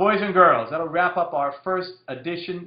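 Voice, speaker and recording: Loud and high-pitched, a man speaks with fairly even intonation. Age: 40s. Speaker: direct marketing copywriter. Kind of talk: casual monologue Q&A. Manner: fast.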